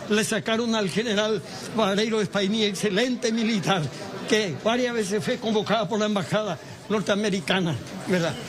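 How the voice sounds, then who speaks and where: This man speaks at a moderate pace with a high pitch. Audible room echo and noticeable background noise surround his voice. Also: ordinary pitch variation, very even loudness. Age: 80s+. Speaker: torture victim, former political prisoner. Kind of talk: impassioned statement to press.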